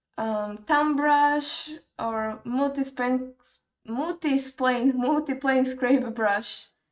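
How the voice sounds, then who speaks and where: A high-pitched woman speaks with a non-native accent and ordinary pitch variation. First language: not English. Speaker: 3D art tutorial creator. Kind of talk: tutorial. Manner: casual, thinking aloud.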